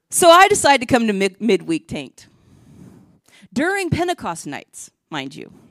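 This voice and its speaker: A woman speaks at a moderate pace with fairly high pitch, very wide pitch swings, vocal fry, and long, frequent pauses. The recording is very clean with a silent background and a dry, close sound with no echo. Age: 50s. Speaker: preacher. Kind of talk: sermon.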